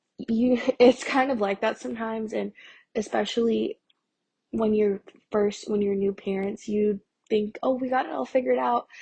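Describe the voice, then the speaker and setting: At a moderate pace, a woman talks in a dark, mellow, somewhat breathy tone. The sound is dry and close, with no echo. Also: fairly high pitch for a woman. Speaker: podcast host. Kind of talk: casual podcast talk, advice. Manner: hesitant, many fillers.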